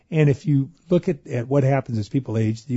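The man's voice is somewhat breathy. He speaks fairly quickly, and his pitch varies in an ordinary way. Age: 50s. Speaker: anesthesiologist, exercise physiologist. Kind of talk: radio interview. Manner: repeats words, energetic.

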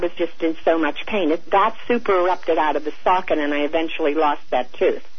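Noticeable background noise sits behind this recording. A woman speaks at a fairly quick pace with a fairly low pitch. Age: 70s. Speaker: radio caller. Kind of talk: call-in question. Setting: phone call.

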